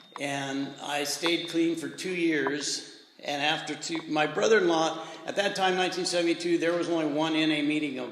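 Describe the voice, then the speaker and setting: The speech moves at a moderate pace with fairly even intonation, amid noticeable background noise and audible room echo. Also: man, fairly high pitch for a man. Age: 70s. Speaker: recovery speaker at men's retreat. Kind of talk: testimony.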